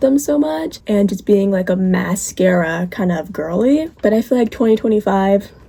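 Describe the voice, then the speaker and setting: A woman talks at a moderate pace with ordinary pitch variation. There is noticeable background noise. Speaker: beauty vlogger. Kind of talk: casual chat. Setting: get-ready-with-me video, talking to camera.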